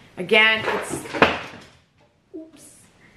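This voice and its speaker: A woman speaks in a Canadian accent. Noticeable background noise and audible room echo surround her voice. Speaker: crochet vlogger. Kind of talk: casual chat.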